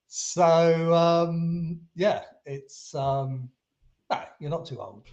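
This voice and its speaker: A man with a British accent talks at a very slow pace and a high pitch. His loudness swings widely. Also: fairly even intonation. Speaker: SEO agency founder. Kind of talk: podcast interview answer.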